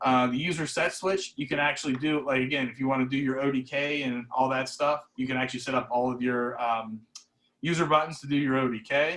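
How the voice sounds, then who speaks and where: Talking at a fairly quick pace, a man keeps a medium pitch and fairly even intonation. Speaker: camera product specialist. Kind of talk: product demo over video call. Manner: fast; many fillers, um and uh.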